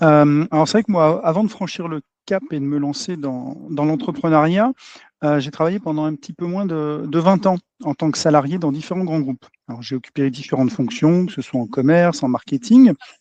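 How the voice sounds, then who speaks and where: Against a quiet background with a dry, close sound and no echo, a man with a fairly high pitch and a dark, mellow tone talks at a moderate pace with lively intonation. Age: 40s. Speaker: entrepreneur, agency owner. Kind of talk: podcast interview. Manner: hesitant, many fillers.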